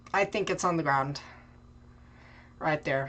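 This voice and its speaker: A woman's very deep, low voice with vocal fry, at a fairly quick pace. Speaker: storm chaser livestreamer tracking severe weather. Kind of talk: live weather coverage commentary. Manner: halting, repeating words.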